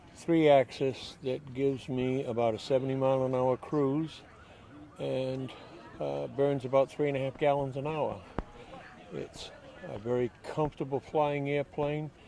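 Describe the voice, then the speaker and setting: A man speaks at a medium pitch in a monotone, flat delivery, fairly slowly, with long, frequent pauses. Noticeable background noise sits behind him. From New England. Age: 70s. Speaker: amateur pilot. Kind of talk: interview.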